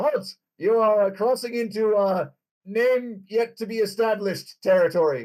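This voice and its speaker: A man uses a gruff, put-on character voice pitched high. He speaks at a moderate pace. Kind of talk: officious, guard-like.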